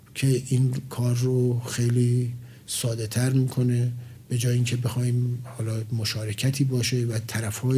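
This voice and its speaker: A man speaks fairly slowly at a medium pitch in a flat monotone. Room echo is audible. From Iran, Tehran. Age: 50s. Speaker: project manager, engineer. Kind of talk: interview. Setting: studio.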